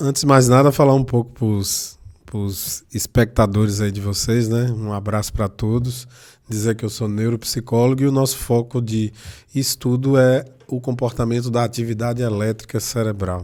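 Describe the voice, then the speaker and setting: Recorded very cleanly against a silent background, a man speaks at a moderate pace with a medium pitch and fairly even intonation. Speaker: neuropsychologist. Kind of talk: interview.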